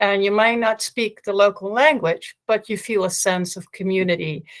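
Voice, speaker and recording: A woman's medium-pitched voice with a Dutch accent, fairly even intonation and a moderate pace, in a very clean recording with a silent background. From Netherlands. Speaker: panelist, school project worker. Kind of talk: panel discussion.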